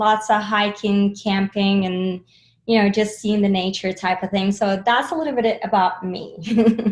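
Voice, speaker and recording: With ordinary pitch variation, a somewhat breathy voice talks at a moderate pace. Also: woman. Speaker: sales enablement leader. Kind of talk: interview. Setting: video call.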